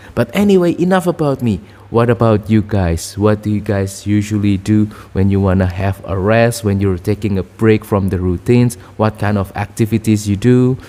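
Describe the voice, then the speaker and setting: The voice has a dark, mellow tone and ordinary pitch variation. It moves at a moderate pace. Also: man, fairly low pitch for a man. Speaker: vlogger. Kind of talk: casual talk to camera. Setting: at home. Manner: halting, many fillers.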